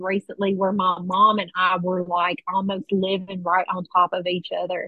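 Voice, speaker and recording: A woman at medium pitch, monotone and flat in intonation, at a moderate pace. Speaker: meeting member sharing. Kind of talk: recovery share.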